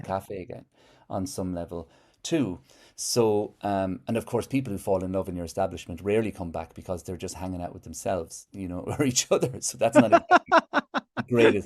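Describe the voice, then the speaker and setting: Recorded very cleanly against a silent background, a man with an Irish accent speaks at a fairly quick pace in a fairly low voice, with ordinary pitch variation and big swings in loudness. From Ireland. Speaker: poet and musician. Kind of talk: interview answer.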